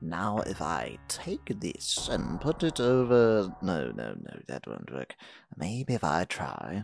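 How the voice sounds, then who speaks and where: Someone performs a put-on character voice with very wide pitch swings at a fairly slow pace. Music plays in the background. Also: man, very deep, low pitch for a man. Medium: audio drama. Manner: haughty, impatient.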